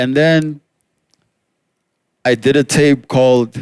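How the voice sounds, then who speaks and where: A man speaks at a very slow pace. The recording is very clean with a silent background, and the sound is dry and close with no echo. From South Africa, Pretoria. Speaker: rapper. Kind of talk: casual chat. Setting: outdoors on a rooftop.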